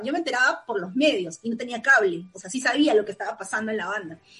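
Lively intonation carries speech that races along very fast. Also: woman. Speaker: music fan. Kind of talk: casual chat.

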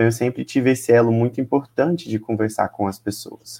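He is a man with an unremarkable speaking voice, pitched at medium and delivered with fairly even intonation. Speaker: teacher and HIV youth activist. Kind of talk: casual chat.

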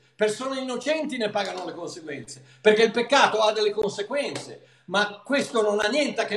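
With lively intonation, a man speaks at a moderate pace in a high-pitched voice over noticeable background noise. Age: 70s. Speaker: pastor and Bible teacher. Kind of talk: religious Q&A discussion, casual teaching. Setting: video call from abroad.

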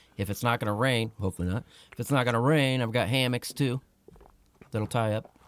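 A man talks at a fairly quick pace and medium pitch with fairly even intonation. His speech has long, frequent pauses, and the sound is dry and close with no echo. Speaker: podcast co-host. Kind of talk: casual chat.

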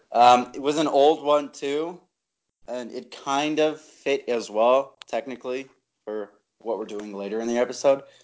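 A man with an ordinary speaking voice talks at a medium pitch with ordinary pitch variation. His loudness swings widely. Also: fairly slow pace. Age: 20s. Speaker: podcast co-host. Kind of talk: casual chat.

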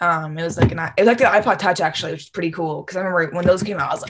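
Speaking at a very fast pace with hardly any pauses, a woman with an American accent uses a fairly low pitch, ordinary pitch variation and big swings in loudness. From Michigan, US Midwest. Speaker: college student. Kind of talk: testimony. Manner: animated; halting.

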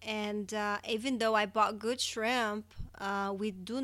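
Delivery is fairly slow, with monotone, flat intonation and a bright, sharp tone. The recording is very clean, with a silent background. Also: woman. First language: not English. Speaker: podcast co-host. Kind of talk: casual chat.

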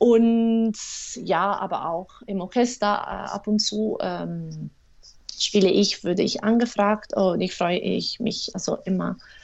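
The speaker talks very slowly in an Italian accent. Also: woman. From Italy, Rome. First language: Italian (speaking German). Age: 30s. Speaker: clarinettist and music teacher. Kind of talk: interview. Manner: halting, many fillers.

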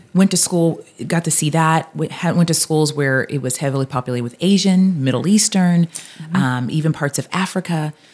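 Hardly pausing, a woman speaks at a moderate pace in a very deep, low pitch with ordinary pitch variation. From US Pacific Northwest (Seattle), also Texas and Louisiana. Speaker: author. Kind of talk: interview conversation.

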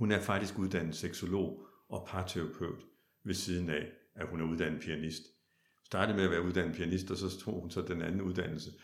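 A man's very deep, low voice at a moderate pace, with audible room echo. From Denmark, Kolding (southern Jutland). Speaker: opera singer. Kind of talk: interview conversation.

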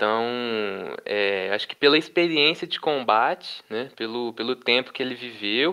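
Medium-pitched male speech with ordinary pitch variation, at a moderate pace. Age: 20s. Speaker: history student, podcast panelist. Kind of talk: casual chat. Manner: hesitant, many fillers.

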